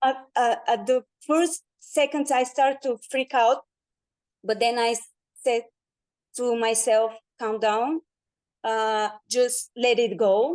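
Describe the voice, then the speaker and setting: A woman with a non-native accent speaks very slowly in a high voice, with ordinary pitch variation and long, frequent pauses. The sound is dry and close with no echo, and the background is quiet. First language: not English. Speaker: guest sharing personal experience. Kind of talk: testimony. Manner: halting.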